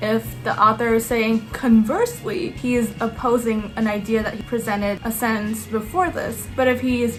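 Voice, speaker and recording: A woman with a non-native accent, fairly high in pitch, at a moderate pace, with audible room echo and music in the background. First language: not English. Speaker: student YouTuber. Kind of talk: tutorial. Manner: casual, filler-heavy.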